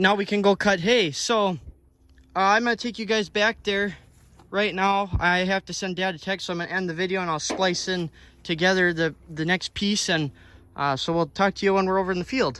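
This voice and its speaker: In a raised, projected voice, a man speaks at a high pitch with a bright, sharp tone on a very clean recording with a silent background. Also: fairly quick pace. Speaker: farmer and farm vlogger. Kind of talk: casual vlog narration. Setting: outdoors on a farm field. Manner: loud.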